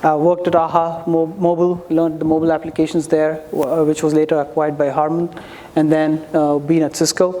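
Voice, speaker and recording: A fairly quick delivery with noticeable background noise behind it. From India. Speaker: startup founder pitching. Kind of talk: startup pitch.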